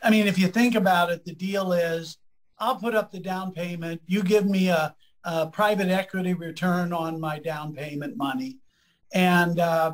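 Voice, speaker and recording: This man has a Midwestern American accent and a high pitch. He speaks at a moderate pace with ordinary pitch variation. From US Midwest, Lima Ohio. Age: 70s. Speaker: economist and professor. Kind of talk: interview conversation.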